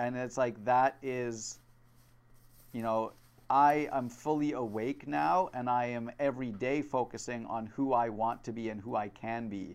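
A man with a normal speaking voice talks at a fairly slow pace and medium pitch, with ordinary pitch variation. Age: 20s. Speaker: podcast host. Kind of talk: casual chat.

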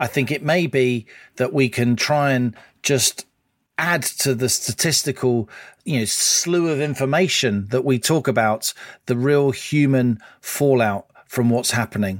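A man's unremarkable speaking voice at medium pitch, fairly slow and very even in loudness, with ordinary pitch variation, in a very clean recording with a silent background and a dry, close sound with no echo. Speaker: podcast co-host and newspaper columnist. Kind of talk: casual chat.

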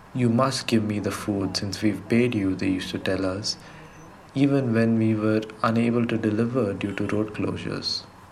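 Fairly low-pitched man's voice at a moderate pace with fairly even intonation, audible room echo, and noticeable background noise. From Karnataka, India (Gulbarga). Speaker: delivery rider. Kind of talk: testimony.

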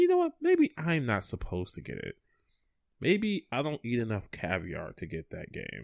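A man speaks in an angry tone at a moderate pace. The sound is dry and close with no echo, on a very clean recording with a silent background. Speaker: video game podcast co-host. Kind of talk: casual chat. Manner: sounds perturbed and angry.

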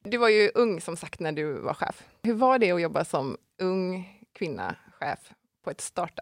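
The speech moves at a fairly slow pace with lively intonation. The sound is dry and close, with no echo. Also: woman, medium pitch for a woman. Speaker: podcast host. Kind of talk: interview. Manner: loud at times.

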